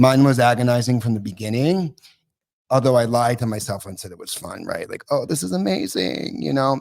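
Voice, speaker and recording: Speaking fairly quickly, a man uses ordinary pitch variation at a medium pitch. His loudness swings widely. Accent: American. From US Northeast (Massachusetts). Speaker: guest talking about addiction recovery. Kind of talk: podcast interview, personal recovery story. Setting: live podcast broadcast from a recovery club. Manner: casual, with some swearing and joking asides.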